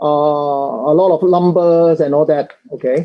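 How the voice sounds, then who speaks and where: A man with a normal speaking voice, fairly high in pitch and fairly even in intonation. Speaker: academic speaker. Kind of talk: panel presentation. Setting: public online forum with interpreter.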